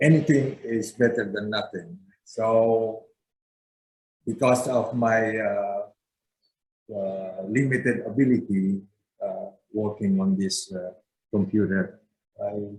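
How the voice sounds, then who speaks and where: Somewhat breathy, a man talks at a very slow pace, leaving long, frequent pauses. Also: medium pitch for a man, ordinary pitch variation. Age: 70s. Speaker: civic organization member. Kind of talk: interview. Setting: video call. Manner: halting.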